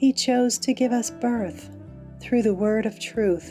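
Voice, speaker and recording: With music in the background, a woman speaks in a calm tone with ordinary pitch variation. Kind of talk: bible reading for meditation.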